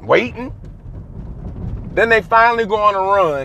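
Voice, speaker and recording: The man's voice is high-pitched. Noticeable background noise runs behind him. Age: 30s. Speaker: sports podcast host. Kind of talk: solo sports commentary monologue.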